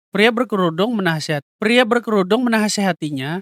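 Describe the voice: A man with a nasal, fairly bright voice talks at a fairly quick pace, high-pitched with lively intonation. The sound is dry and close with no echo, in a very clean recording with a silent background.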